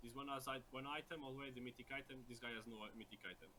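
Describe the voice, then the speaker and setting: At a very fast pace, a man speaks with a non-native accent at a medium pitch. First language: not English. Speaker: video game coach. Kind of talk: coaching session review. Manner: halting, repeated words.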